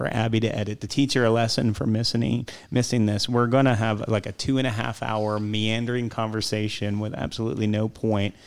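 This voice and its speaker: In a normal speaking voice, a man talks at a fairly quick pace with hardly any pauses, keeping a medium pitch and fairly even intonation. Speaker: podcast host and pastor. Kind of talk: casual chat.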